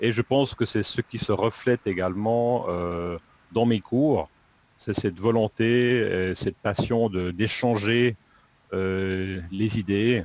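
Very slow speech with long, frequent pauses and fairly even intonation, in a dry, close sound with no echo. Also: man, fairly low pitch for a man. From French-speaking Switzerland, Lausanne region. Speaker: French teacher. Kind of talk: interview. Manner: halting, many hesitations.

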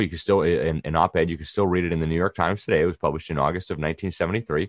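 The speaker talks at a very fast pace with vocal fry. The background is quiet. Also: man. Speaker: magazine editor and commentator. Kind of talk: interview. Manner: indignant, emphatic.

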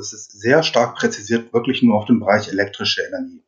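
A man is speaking here. His pace is very fast. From southern Germany (Upper Swabia, near Ravensburg). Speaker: energy consultant and engineer. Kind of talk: podcast interview. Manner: hesitant, many filler sounds.

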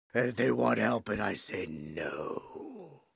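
A man does a put-on character voice that is raspy and very slow in pace. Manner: harsh, ranting.

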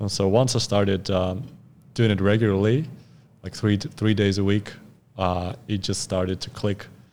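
At a moderate pace, a man with a Russian accent speaks in a dark, mellow tone, with a fairly low pitch and fairly even intonation. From Russia, Far East (Khabarovsk). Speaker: fitness coach. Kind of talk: casual chat. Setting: studio.

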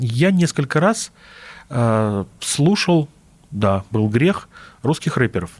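A man with a fairly high pitch speaks at a very slow pace with long, frequent pauses, his somewhat breathy voice swinging very widely in pitch on a very clean recording with a silent background. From Russia, Vladimir region. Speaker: linguist, dialectologist. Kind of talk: radio interview.

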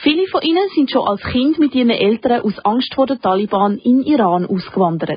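Her high voice barely pauses, and this woman keeps her loudness very even while her pitch swings very widely. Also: moderate pace. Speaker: radio host. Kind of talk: scripted narration. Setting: studio.

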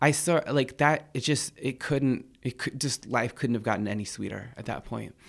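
In an American accent, a man at a medium pitch speaks with vocal fry and ordinary pitch variation, moving at a moderate pace with hardly any pauses. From Kumeyaay reservation east of San Diego, California. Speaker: poet. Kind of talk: interview conversation. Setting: studio. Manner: animated, casual, laughs often.

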